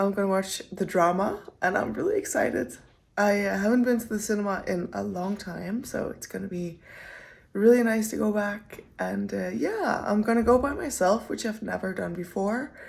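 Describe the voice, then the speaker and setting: Audible room echo hangs around a woman talking at a moderate pace. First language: not English. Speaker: running vlogger. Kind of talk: casual vlog talk to camera. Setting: gym. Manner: casual, with filler words.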